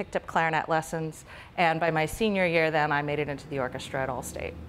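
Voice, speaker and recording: A woman talks at a very fast pace with an American accent, fairly low pitch and fairly even intonation over light background noise. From Oklahoma (Tulsa). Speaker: clarinetist and music professor. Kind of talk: interview. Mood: warm, calm. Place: empty room.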